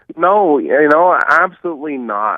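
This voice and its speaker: A man's fairly slow speech with ordinary pitch variation. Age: 40s. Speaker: real estate investor. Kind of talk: interview. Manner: animated.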